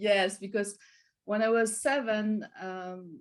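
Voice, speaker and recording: A woman is speaking here. She has a strong French accent. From France. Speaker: wellness and meditation coach. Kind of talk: interview conversation. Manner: halting.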